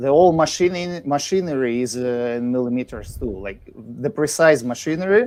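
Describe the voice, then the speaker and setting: Speaking with a Russian accent, a man uses lively intonation at a moderate pace. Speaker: guest musician and residential framer. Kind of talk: casual chat. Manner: halting.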